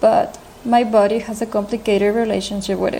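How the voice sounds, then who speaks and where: A woman's fairly high voice with a non-native accent, fairly quick and fairly even, over noticeable background noise. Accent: foreign. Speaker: editorial resident of a fashion site. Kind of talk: recorded voice message.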